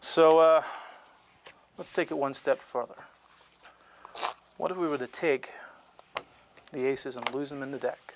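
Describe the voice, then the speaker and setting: Soft-spoken and fairly even in intonation, this voice moves at a moderate pace broken by long, frequent pauses. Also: man, fairly high pitch for a man. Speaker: card magician and cheating expert. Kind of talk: casual explanatory talk demonstrating card tricks.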